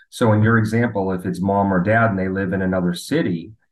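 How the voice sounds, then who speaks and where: A man's fairly low voice with fairly even intonation, an ordinary speaking voice. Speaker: medical device company representative. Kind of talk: radio interview.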